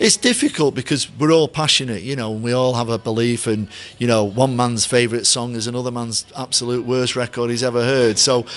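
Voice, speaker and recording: Speaking with hardly any pauses, a man in a Mancunian accent keeps his intonation fairly even. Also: fairly quick pace. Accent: deep Mancunian. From Manchester, England. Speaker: stadium announcer. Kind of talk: interview. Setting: hotel.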